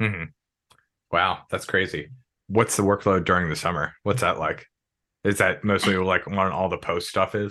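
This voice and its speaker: Against a quiet background, a man with an American accent speaks at a moderate pace, with a fairly low pitch, a bright, sharp tone, fairly even intonation, and long, frequent pauses. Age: 30s. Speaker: podcast host. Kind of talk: casual interview.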